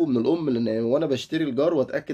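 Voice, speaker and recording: The voice has a dark, mellow tone and an Egyptian accent. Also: man. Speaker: dog-training YouTuber. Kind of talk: casual tutorial.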